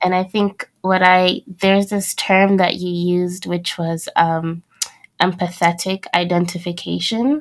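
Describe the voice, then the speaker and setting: A woman's unremarkable speaking voice at medium pitch, with fairly even intonation and a fairly slow pace. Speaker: podcast host. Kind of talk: interview conversation.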